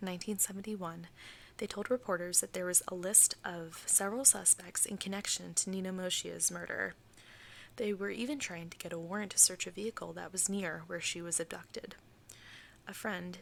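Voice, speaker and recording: Soft-spoken, a woman talks at a fairly quick pace with a medium pitch and fairly even intonation. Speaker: ASMR creator. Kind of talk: true crime storytelling.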